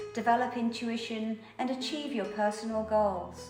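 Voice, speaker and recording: Over music in the background, the speech moves at a fairly slow pace with fairly even intonation. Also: woman. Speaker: meditation guide and yoga teacher. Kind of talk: channel trailer talk to camera. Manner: soft-spoken, slow.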